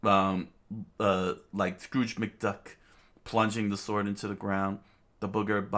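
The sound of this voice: What comes across here is an unforced reading voice.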